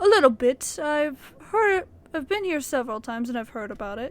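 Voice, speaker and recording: A put-on character voice at a moderate pace. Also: woman, high pitch for a woman. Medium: read story. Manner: terse, businesslike.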